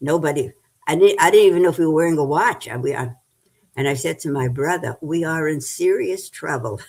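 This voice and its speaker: A woman's very deep, low voice in a New York accent, with lively intonation at a moderate pace. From Brooklyn, New York. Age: 90s. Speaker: retired speech pathologist. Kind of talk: interview answer.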